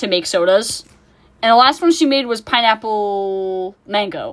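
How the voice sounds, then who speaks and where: An ordinary speaking voice from a woman, with ordinary pitch variation at a fairly slow pace, in a very clean recording with a silent background. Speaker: streamer drawing live. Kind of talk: casual chat.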